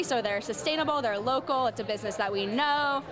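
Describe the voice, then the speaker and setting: Over music in the background, a woman talks at a very fast pace in a high pitch with ordinary pitch variation. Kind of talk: interview answer. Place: cafe. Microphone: handheld.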